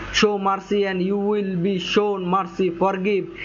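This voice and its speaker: A man's high voice in a monotone, flat intonation at a moderate pace, with noticeable background noise. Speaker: Islamic religious teacher. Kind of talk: religious talk on Islamic teachings. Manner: speaks with hesitations and self-corrections.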